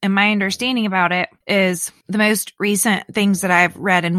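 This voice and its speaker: Speaking with a Southern US accent, a woman has a bright, sharp tone at medium pitch and fairly even intonation. The sound is dry and close with no echo, on a very clean recording with a silent background. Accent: US South. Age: 40s. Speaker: podcast co-host. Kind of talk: casual chat.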